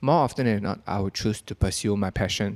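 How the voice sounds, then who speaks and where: In a very clean recording with a silent background and a dry, close sound with no echo, a man with an unremarkable speaking voice and medium pitch talks at a moderate pace. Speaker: podcast host. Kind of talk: casual chat.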